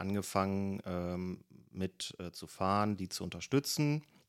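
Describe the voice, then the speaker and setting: A man talks at a fairly slow pace in a fairly low pitch, the sound dry and close with no echo on a very clean recording with a silent background. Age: 30s. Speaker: marksmen's club member and waste management manager. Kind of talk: interview. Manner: hesitant, many filler sounds.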